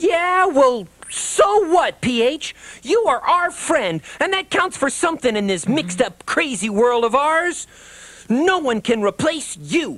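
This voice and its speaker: A put-on character voice, high-pitched, at a fairly slow pace with very wide pitch swings. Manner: earnest, grandiose.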